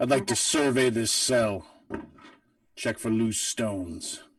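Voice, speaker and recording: A man uses a put-on character voice at a medium pitch. He talks at a fairly slow pace. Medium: actual play. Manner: blunt, terse.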